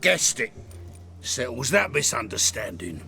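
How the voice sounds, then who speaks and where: A man speaks at a moderate pace in a raspy, put-on character voice, medium in pitch, with clear background noise behind him. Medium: video game. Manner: rambling, defensive.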